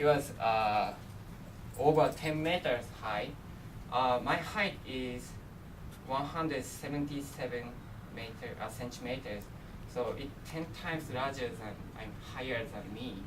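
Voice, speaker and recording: Over noticeable background noise and audible room echo, a man talks at a fairly slow pace with long, frequent pauses, big swings in loudness, medium pitch and ordinary pitch variation. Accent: Japanese. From Japan, Miyagi prefecture. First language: Japanese. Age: 20s. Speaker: international student presenter. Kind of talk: presentation. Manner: halting.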